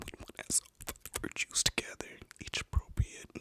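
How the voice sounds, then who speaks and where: A man whispers at a moderate pace, the sound dry and close with no echo, over noticeable background noise. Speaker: ASMR creator and host. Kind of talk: ASMR whisper reading of a book. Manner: whispered, soft-spoken.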